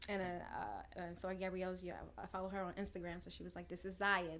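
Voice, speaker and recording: Talking fairly quickly, a woman speaks with an American accent. Audible room echo is present. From New York City. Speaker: social entrepreneur. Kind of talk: podcast panel discussion.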